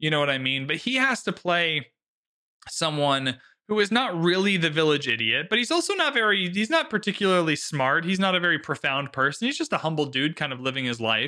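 With a high pitch and a bright, sharp tone, a man talks at a fairly quick pace with lively intonation. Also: very clean recording, silent background. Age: 20s. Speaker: film podcast host. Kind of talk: casual chat.

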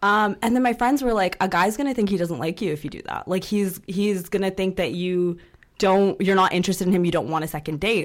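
Hers is a plain, everyday voice at a medium pitch. The woman speaks at a fairly quick pace with ordinary pitch variation. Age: 20s. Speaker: popular culture columnist. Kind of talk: casual chat. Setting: studio.

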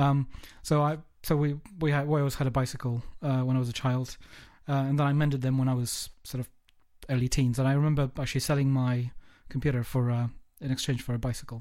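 At a very fast pace yet with long, frequent pauses, the voice delivers flat, monotone intonation in a dark, mellow tone with a southern English accent. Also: man, medium pitch for a man. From England, Kent. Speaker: podcast host. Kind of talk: casual interview chat. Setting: remote call across the globe.

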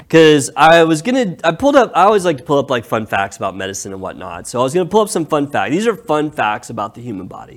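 Against noticeable background noise, the speech races at a very fast pace, with big swings in loudness and very wide pitch swings. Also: man, fairly high pitch for a man. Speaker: podcast host. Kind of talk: casual chat.

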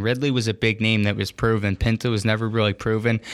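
In an ordinary speaking voice, a man of medium pitch talks at a fairly quick pace. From Philadelphia, US. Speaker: hockey podcast host. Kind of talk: casual sports chat.

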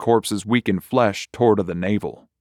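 A man delivers his lines in a dramatic tone at a moderate pace with ordinary pitch variation, recorded dry and close with no echo against a silent background on a very clean recording. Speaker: audio fiction narrator. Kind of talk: horror story narration, read aloud. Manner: gruesome, vivid, building dread; measured, dramatic, character voices for dialogue.

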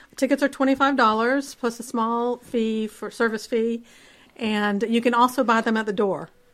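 A woman with an ordinary speaking voice, fairly high in pitch, fairly even in intonation and moderate in pace, on a very clean recording with a silent background. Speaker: festival organizer.

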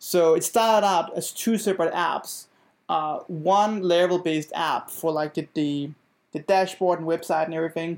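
A man with a Danish accent talks at a moderate pace in a high pitch with fairly even intonation. The recording is very clean, with a silent background. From Denmark. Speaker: software engineer. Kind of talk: casual interview chat. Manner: halting, many fillers and repetitions.

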